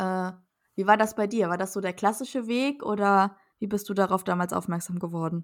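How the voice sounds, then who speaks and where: In a normal speaking voice, the words come at a fairly quick pace with fairly even intonation, on a very clean recording with a silent background. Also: woman, medium pitch for a woman. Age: 20s. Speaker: podcast co-host, physician assistant. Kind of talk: casual chat.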